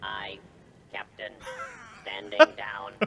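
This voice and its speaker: A put-on character voice comes through with clear background noise underneath. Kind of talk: game dialogue line. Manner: obedient, ship-crew tone.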